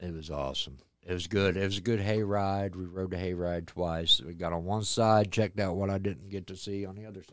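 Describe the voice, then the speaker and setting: A man with a very deep, low pitch and an American accent, talking at a fairly quick pace with big swings in loudness. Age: 60s. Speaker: haunted attraction manager. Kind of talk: interview.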